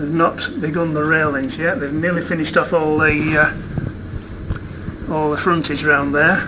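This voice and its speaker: A man with an English accent and a fairly high pitch, fairly even intonation, a fairly slow pace and hardly any pauses, amid audible room echo and noticeable background noise. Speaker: video blogger filming building progress. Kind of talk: walkthrough narration. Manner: halting.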